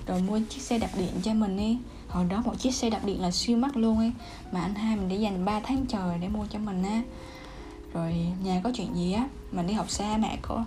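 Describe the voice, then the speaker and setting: Over noticeable background noise and audible room echo, a woman of medium pitch talks at a moderate pace with fairly even intonation. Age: 20s. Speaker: podcaster. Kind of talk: casual monologue.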